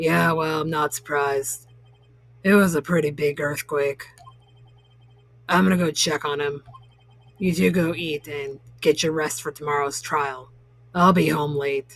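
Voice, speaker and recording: A put-on character voice from a woman, raspy and very deep and low in pitch, at a moderate pace with long, frequent pauses and ordinary pitch variation. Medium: game stream. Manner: blunt and casual, calls people pal.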